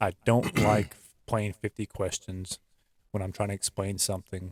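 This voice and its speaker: Mumbling at a moderate pace, a man speaks in a fairly low pitch with a dry, close sound and no echo. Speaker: podcast co-host. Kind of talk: casual chat.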